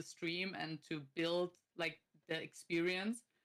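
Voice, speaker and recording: In an Austrian accent, a woman talks at a moderate pace with a medium pitch and a bright, sharp tone. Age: 30s. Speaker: streamer and content creator. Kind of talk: casual chat.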